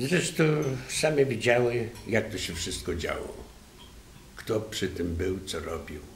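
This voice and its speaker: A man speaks at a very slow pace with long, frequent pauses and very wide pitch swings. Audible room echo and light background noise are present. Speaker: widower of hospice patient. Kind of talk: testimony. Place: meeting room. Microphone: podium.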